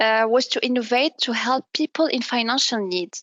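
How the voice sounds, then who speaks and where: With an Arabic accent, a woman speaks at a moderate pace in a high pitch. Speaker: business development manager. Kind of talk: interview. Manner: halting, with self-repairs.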